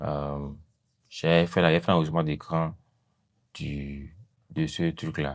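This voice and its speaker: In a very deep, low voice, a man speaks at a very slow pace with monotone, flat intonation on a very clean recording with a silent background. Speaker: video editing tutor. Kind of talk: tutorial. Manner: hesitant, many fillers.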